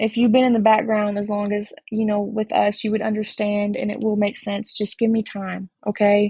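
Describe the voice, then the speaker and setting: A woman's fairly high, somewhat breathy voice. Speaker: livestreamer discussing online drama. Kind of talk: casual livestream talk. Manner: halting.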